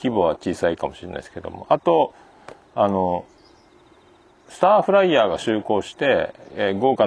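Moderate-speed talk from a man, noticeable noise in the background. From Japan, Fukuoka (Hakata). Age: 40s. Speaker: podcast host. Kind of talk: casual solo monologue. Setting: outdoors by a riverbank. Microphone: handheld iPhone / voice recorder.

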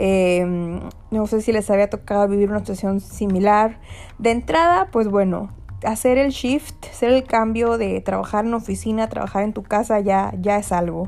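Here is a woman with an ordinary speaking voice at a medium pitch. She goes at a moderate pace with fairly even intonation. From Mexico. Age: 20s. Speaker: podcast host, graduate student. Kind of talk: casual monologue podcast. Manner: frequent laughter, filler words.

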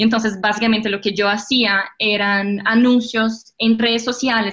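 A woman speaks with a Portuguese accent in a bright, sharp tone. Her pace is fairly slow and her intonation fairly even. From Brazil. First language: Portuguese (speaking Spanish). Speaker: digital marketing specialist. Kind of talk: interview.

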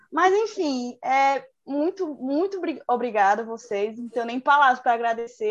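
A woman with a high voice and lively intonation speaks at a fairly slow pace. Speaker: podcast host, university student. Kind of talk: casual chat. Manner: animated.

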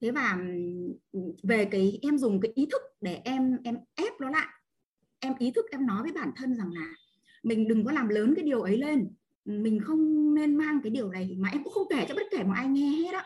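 A woman's high-pitched voice with very wide swings in pitch. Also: moderate pace. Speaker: online class participant. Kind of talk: personal testimony. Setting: video call. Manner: halting.

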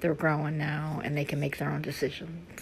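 A woman speaks with an American accent and vocal fry. Her pitch is very deep and low, her pace moderate. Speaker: podcast host. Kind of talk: casual monologue. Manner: chatty.

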